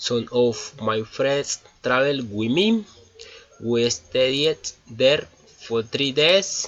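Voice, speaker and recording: Lively intonation from a man with a Colombian accent and medium pitch, very slow pace, long, frequent pauses, noticeable background noise. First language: Spanish. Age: 20s. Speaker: engineering student. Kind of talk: class presentation in English. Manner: halting.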